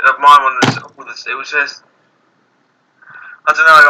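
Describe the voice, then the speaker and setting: With a British accent, this man keeps to a moderate pace. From Britain. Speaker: youtuber. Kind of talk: casual chat. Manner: halting.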